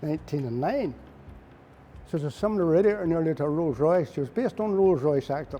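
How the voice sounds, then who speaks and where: Speaking at a very fast pace, a man with a Northern Irish accent has a dark, mellow tone and lively intonation. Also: fairly high pitch for a man. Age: 80s+. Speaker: retired mechanic. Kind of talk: interview answer, reminiscing.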